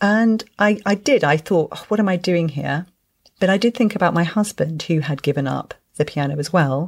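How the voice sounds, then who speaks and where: In a British accent, a woman talks at a moderate pace with a fairly low pitch and ordinary pitch variation, recorded very cleanly against a silent background. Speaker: podcast host and parenting coach. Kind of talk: casual chat.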